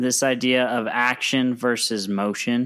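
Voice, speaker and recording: A man's medium-pitched voice at a very slow pace. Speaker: podcast co-host. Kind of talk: casual chat. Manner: monotone.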